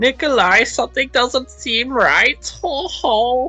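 A female-sounding voice performs a put-on character voice, pitched high and delivered at a fairly slow pace. Faint music plays in the background. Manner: exaggerated impression, with a 'ho ho'.

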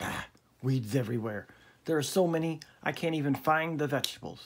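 A put-on character voice growls at a fairly quick pace. The pitch sits low to middle. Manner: growling, grumpy, irritated.

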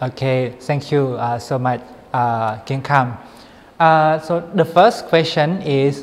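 This man has a Thai accent and speaks at a fairly slow pace. His pitch varies in an ordinary way. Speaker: graduate student interviewer. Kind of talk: interview. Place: studio. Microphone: lapel.

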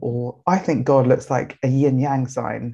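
The voice has a dark, mellow tone and sounds somewhat breathy. Its intonation stays fairly even against a quiet background. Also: woman. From Nigeria. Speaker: writer and think tank director; webinar speaker. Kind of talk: presentation talk; talk / presentation. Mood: warm, engaged. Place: home room. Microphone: webcam.

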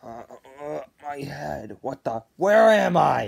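A woman puts on a character voice that is low, slightly mellow and slightly husky, with vocal fry. She speaks at a slow pace with big pitch swings.

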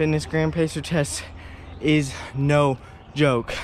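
Light background noise sits under the recording. A man speaks in a dry sound with no echo. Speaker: fitness vlogger. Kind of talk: casual vlog chat. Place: garden. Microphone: phone near.

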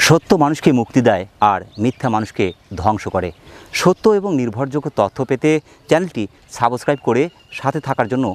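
A man's medium-pitched, normal speaking voice with lively intonation, in a dry, close sound with no echo and a very clean recording with a silent background. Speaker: farm channel host. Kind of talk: channel intro; interview at goat farm.

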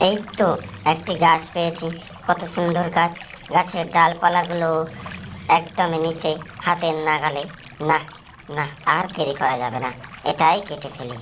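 Clear background noise sits behind a man doing a cartoonish character voice, high-pitched and at a moderate pace.

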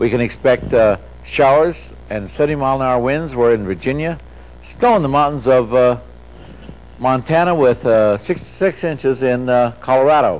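Moderate pace and ordinary pitch variation from a male speaker. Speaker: TV presenter. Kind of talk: broadcast weather forecast. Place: studio.

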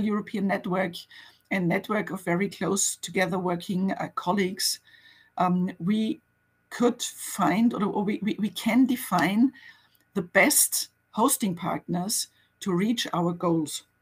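At a fairly slow pace, a woman speaks in a somewhat breathy voice with ordinary pitch variation. The background is quiet. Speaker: museum network officer, guest speaker; guest. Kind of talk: webinar presentation and conversation. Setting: online webinar.

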